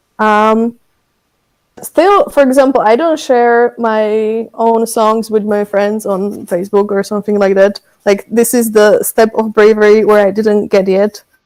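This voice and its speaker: Fairly slow and with fairly even intonation, a woman speaks with a Slovak accent. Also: fairly high pitch for a woman. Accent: Slovak accent when speaking English. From Slovakia. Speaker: songwriter. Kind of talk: casual interview chat.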